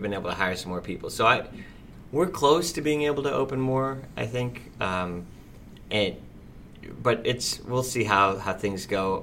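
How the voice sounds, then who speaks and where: A man in a Midwestern American accent, fairly slow pace with long, frequent pauses, lively intonation, a bright, sharp tone and audible room echo. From US Midwest, Fort Wayne, Indiana. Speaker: restaurant owner. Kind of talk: casual interview.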